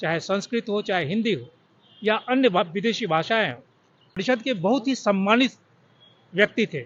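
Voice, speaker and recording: A man's high-pitched voice with lively intonation. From Bihar, Darbhanga. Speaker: journalist and vlogger. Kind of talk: vlog tribute monologue. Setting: outdoors at a cemetery.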